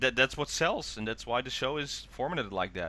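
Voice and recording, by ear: A man talks at a moderate pace with a medium pitch. His tone is bright and sharp, and his intonation is lively.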